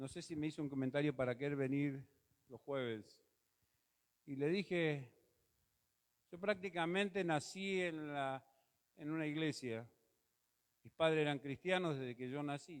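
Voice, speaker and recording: A man with a fairly high pitch talks at a fairly slow pace. Long, frequent pauses break up his speech. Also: ordinary pitch variation. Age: 60s. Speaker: pastor. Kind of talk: sermon. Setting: church auditorium.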